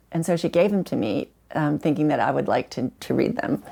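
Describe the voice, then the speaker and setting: A woman's very deep, low voice with vocal fry, at a fairly quick pace, in a very clean recording with a silent background. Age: 60s. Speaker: terminally ill cancer patient. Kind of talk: podcast interview. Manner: halting.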